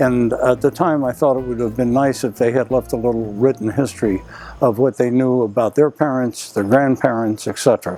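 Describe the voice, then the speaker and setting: With music playing in the background, a man of medium pitch talks at a fairly quick pace using fairly even intonation. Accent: American. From Arlington, Virginia, US. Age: 70s. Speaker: retired author interviewed about his memoir. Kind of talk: interview. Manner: halting, frequent uh fillers.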